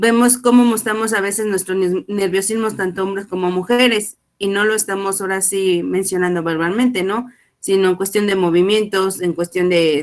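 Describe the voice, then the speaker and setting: Medium-pitched and fairly even in intonation, a woman speaks at a moderate pace. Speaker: student. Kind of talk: class discussion.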